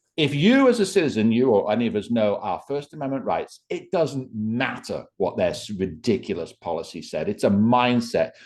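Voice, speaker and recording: In an English accent, a man speaks at a moderate pace with hardly any pauses and very wide pitch swings against a quiet background. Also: medium pitch for a man. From England. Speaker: free speech activist. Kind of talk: interview. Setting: podcast. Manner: animated.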